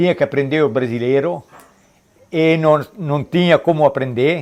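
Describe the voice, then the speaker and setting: A man is talking at a medium speed. The rise and fall of his pitch is normal. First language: Trentino Italian dialect (speaking Portuguese). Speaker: interviewee. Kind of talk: documentary interview.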